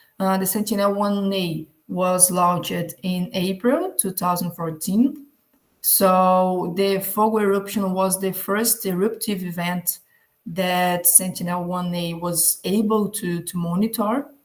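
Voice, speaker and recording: In a Portuguese accent, a somewhat breathy voice speaks at a fairly slow pace with fairly even intonation on a very clean recording with a silent background. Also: woman, medium pitch for a woman. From Brazil. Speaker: geographer, conference presenter. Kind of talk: conference presentation. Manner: halting.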